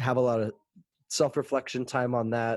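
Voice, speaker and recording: A man with an American accent and a normal speaking voice talks at a medium pitch and a fairly quick pace. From Texas (Fort Worth). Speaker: musical theater actor and singer. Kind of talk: casual interview chat.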